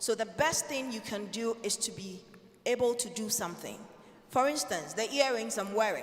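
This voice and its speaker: Audible room echo surrounds a woman with a fairly high pitch. She keeps a moderate pace with ordinary pitch variation. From Ghana. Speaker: financial consultant, panelist. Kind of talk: panel discussion. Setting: conference stage in a church with audience.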